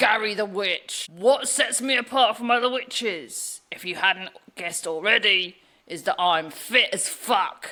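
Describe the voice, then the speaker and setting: A put-on character voice, fairly high in pitch, at a moderate pace. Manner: put-on silly witch voice, committed.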